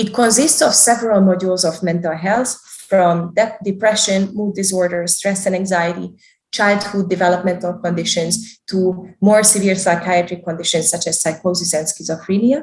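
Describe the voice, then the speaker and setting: This woman talks at a moderate pace with a somewhat breathy voice. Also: medium pitch for a woman, ordinary pitch variation. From Hungary, Budapest. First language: Hungarian. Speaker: developmental psychologist. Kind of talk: interview, career talk.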